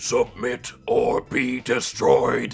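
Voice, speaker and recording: A man's growling, put-on character voice. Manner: angry, commanding.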